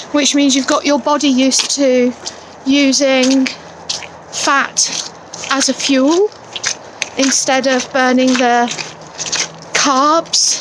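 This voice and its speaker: A woman's high-pitched, monotone, flat delivery at a very slow pace, with very even loudness, long, frequent pauses and noticeable background noise. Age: 40s. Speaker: vlogger. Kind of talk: casual vlog. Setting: outdoors. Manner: rambling.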